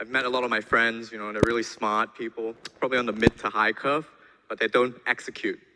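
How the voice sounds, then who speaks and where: Speaking at a fairly quick pace with a non-native accent, a man with a medium pitch comes through dry and close with no echo, with noticeable background noise behind him. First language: not English. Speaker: conference speaker, programmer. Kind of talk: conference talk.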